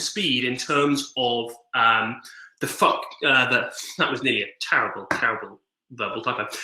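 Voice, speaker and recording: Audible room echo surrounds a man speaking with an English accent. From England. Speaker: digital organizing trainer. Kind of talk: online training presentation. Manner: fast; casual, filler-heavy.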